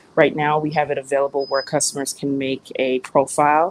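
A woman speaks with an American accent. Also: dry, close sound with no echo. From Miami, Florida (Jamaican American). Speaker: pet transport business founder. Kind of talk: interview. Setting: on the road.

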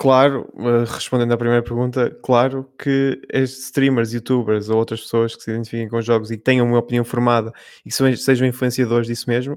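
In an ordinary speaking voice, a man talks at a medium pitch with fairly even intonation, recorded very cleanly against a silent background. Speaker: video game editor. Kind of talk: casual panel discussion.

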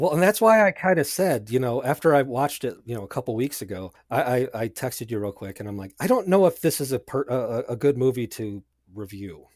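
A man with an unremarkable speaking voice and medium pitch talks at a fairly quick pace, with hardly any pauses. His intonation is lively, his loudness swings widely, and the recording is very clean with a silent background. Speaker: podcast guest and music composer. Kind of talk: casual chat.

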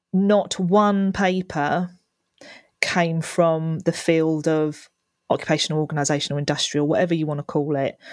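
Here a woman talks at a moderate pace with fairly even intonation and a fairly low pitch. It is an unremarkable speaking voice. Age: 40s. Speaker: occupational psychologist. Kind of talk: casual chat.

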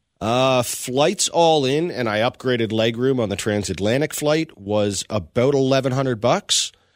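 There are hardly any pauses as a man speaks at a moderate pace in an unremarkable speaking voice. The recording is very clean, with a silent background. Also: medium pitch for a man, lively intonation. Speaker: coworker guest. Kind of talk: casual interview storytelling.

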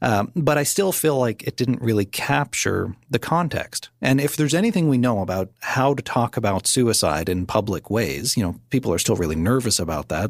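A man with a normal speaking voice in a Canadian accent, lively intonation and a fairly quick pace. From Nova Scotia, Canada. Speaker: mental health advocate and author. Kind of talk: interview.

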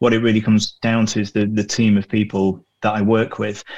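A man with a northern English accent talks at a fairly quick pace and a fairly low pitch. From northern England. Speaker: hospitality media professional. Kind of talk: casual interview chat.

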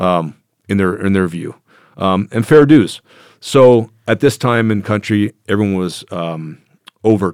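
A man with a Canadian accent speaks at a fairly slow pace in a normal speaking voice, fairly low in pitch with ordinary pitch variation. The sound is dry and close with no echo, on a very clean recording with a silent background. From Canada. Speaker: former legionnaire and military contractor. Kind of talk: interview storytelling.

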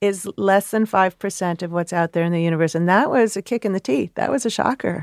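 A normal speaking voice from a woman at medium pitch, with a fairly quick pace, ordinary pitch variation and hardly any pauses, in a very clean recording with a silent background and a dry, close sound with no echo. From US Midwest, Chicago. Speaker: astrophysicist. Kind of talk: interview.

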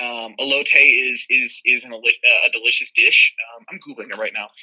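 A man talks with an American accent. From Phoenix, Arizona. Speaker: hip hop musician. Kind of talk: interview. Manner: fast.

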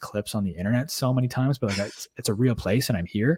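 A man talks at a very fast pace, medium in pitch and somewhat breathy, with ordinary pitch variation. The sound is dry and close, with no echo. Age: 20s. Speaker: podcast host. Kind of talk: casual chat. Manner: animated.

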